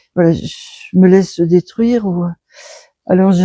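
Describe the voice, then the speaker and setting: The voice is somewhat breathy, with a dark, mellow tone and fairly even intonation, recorded dry and close with no echo. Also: woman. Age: 70s. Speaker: sculptor. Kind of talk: interview. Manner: halting.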